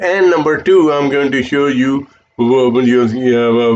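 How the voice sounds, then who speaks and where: A man speaks with an Indian accent. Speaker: financial advisor. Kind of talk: sales pitch. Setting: live stream. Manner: hesitant, many fillers.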